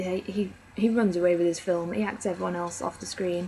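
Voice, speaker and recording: In an English accent, a woman speaks quietly at a moderate pace with medium pitch and fairly even intonation, against noticeable background noise. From England. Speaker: film reviewer. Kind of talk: casual review monologue. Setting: at home, others downstairs. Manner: rambling, hesitant. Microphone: very quiet recording.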